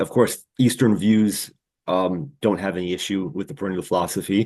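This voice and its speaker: With an ordinary speaking voice and an American accent, a man talks at a moderate pace in a fairly low pitch with ordinary pitch variation against a quiet background. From US Northeast (New York). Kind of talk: casual interview conversation.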